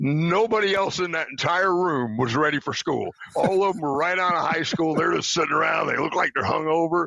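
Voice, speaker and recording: Speaking fairly quickly in a Southern US accent, a man uses a high pitch and lively intonation. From Tennessee, later West Virginia. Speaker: retired army officer. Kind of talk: interview.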